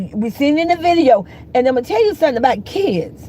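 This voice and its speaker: A woman's animated, high-pitched voice with an American accent and very wide pitch swings, over noticeable background noise. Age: 60s. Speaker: YouTuber commentator. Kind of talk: livestream commentary rant. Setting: YouTube livestream. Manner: animated, heated.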